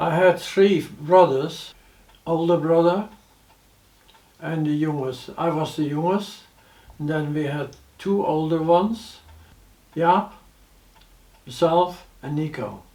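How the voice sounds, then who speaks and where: Against noticeable background noise, a man with a fairly high voice talks very slowly and evenly, with long, frequent pauses. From Netherlands. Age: 80s+. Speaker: war witness. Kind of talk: personal testimony.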